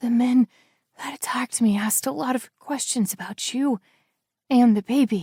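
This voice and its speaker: Whispering, hoarse put-on character voice from a woman, moderate pace, long, frequent pauses, dry, close sound with no echo. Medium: read story.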